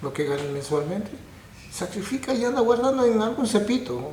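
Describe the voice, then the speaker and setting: A man at a moderate pace with very wide pitch swings, audible room echo and noticeable background noise. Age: 70s. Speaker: painter and art teacher. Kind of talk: interview.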